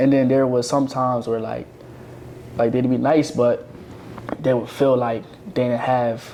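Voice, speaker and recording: Against noticeable background noise, the speaker talks at a fairly slow pace with long, frequent pauses and monotone, flat intonation. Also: man, medium pitch for a man. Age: 20s. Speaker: podcast co-host. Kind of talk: casual chat.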